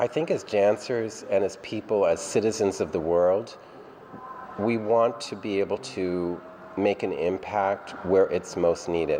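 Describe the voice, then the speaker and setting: Someone talks fairly slowly in an American accent, with ordinary pitch variation. Noticeable background noise runs underneath. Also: man, fairly low pitch for a man. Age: 60s. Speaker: dance company director. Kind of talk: interview.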